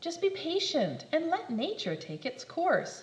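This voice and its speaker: A woman's put-on character voice at an extremely high pitch, with very wide pitch swings, a fairly slow pace and slight echo. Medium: read story. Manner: curt, exasperated.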